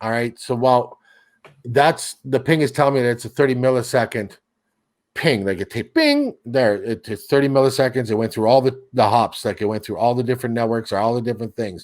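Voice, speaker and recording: On a very clean recording with a silent background, a man in an ordinary speaking voice talks at a fairly quick pace and medium pitch with fairly even intonation. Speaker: seedbox and streaming tech guest. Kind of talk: casual chat.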